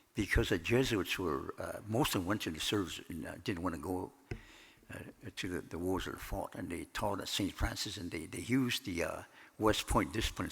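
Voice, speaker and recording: A man's very deep, low voice with an American accent, at a fairly quick pace with ordinary pitch variation. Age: 80s+. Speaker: professor of Native studies. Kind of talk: conference talk. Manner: halting, many fillers.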